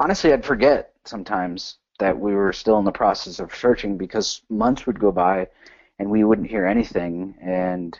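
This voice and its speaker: A man with an American accent and an ordinary speaking voice talks at a moderate pace, his fairly low pitch showing ordinary pitch variation. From New Jersey, US (born El Salvador). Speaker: army soldier, adoptee. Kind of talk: interview testimony.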